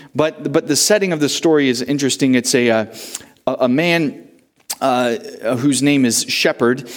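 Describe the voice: Someone reads aloud plainly, the pitch varying in an ordinary way.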